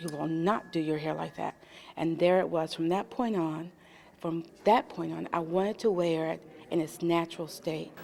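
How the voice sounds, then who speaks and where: This woman's fairly low voice keeps a moderate pace and ordinary pitch variation, with noticeable background noise behind it. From US South, Little Rock, Arkansas. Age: 50s. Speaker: interviewee. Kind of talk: testimony.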